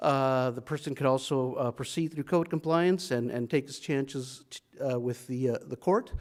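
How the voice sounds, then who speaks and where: Speaking at a moderate pace with hardly any pauses, a man with a fairly high pitch shows ordinary pitch variation and big swings in loudness. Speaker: city planning staff presenter. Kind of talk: council work session presentation. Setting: city council meeting. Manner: hesitant, many fillers.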